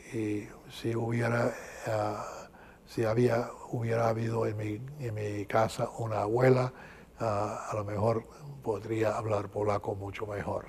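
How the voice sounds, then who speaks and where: The speaker has a slight Cuban accent and a fairly slow pace, with long, frequent pauses. Intonation is monotone and flat, and there is noticeable background noise. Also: man, medium pitch for a man. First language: English (speaking Spanish). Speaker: archbishop. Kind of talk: interview. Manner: halting, many fillers.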